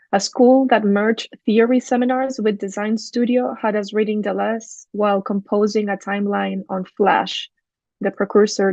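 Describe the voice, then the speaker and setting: With a Spanish accent, a woman speaks at a moderate pace and a medium pitch, using fairly even intonation. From Chile. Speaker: architect and urban design researcher. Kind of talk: academic lecture.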